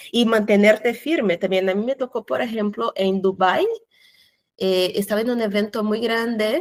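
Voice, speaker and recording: Speaking at a fairly slow pace, a woman with a Portuguese accent keeps a medium pitch and fairly even intonation. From Brazil. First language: Portuguese (speaking Spanish). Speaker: cultural manager. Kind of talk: interview.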